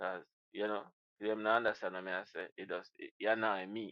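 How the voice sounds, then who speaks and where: A man speaks with a Jamaican accent at a moderate pace. His pitch is fairly low. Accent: Jamaican patois. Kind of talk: casual reaction commentary to camera.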